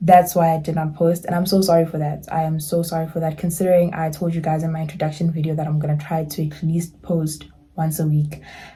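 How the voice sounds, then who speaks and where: A woman talks at a very fast pace in a fairly low, dark, mellow, somewhat breathy voice with monotone, flat intonation and audible room echo. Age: 20s. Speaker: lifestyle YouTuber. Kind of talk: casual vlog talk to camera.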